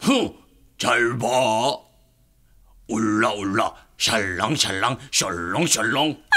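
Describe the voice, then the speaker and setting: A man does a cartoonish character voice, raspy and at a medium pitch. He speaks at a very slow pace with long, frequent pauses. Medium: puppet.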